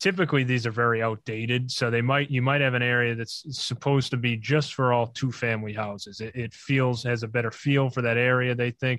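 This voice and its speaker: A man with an American accent, a bright, sharp tone and fairly even intonation. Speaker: real estate developer. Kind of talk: interview.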